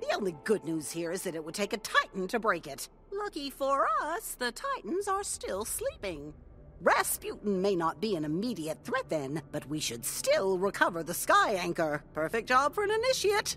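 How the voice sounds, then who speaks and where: A female-sounding, put-on character voice speaks at a moderate pace. Background noise is clearly audible. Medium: video game. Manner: curt, commanding.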